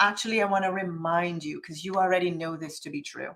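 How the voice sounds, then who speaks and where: In an animated tone, a woman with a medium-pitched voice speaks with a slight Jamaican accent. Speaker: business coach. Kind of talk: motivational workshop talk.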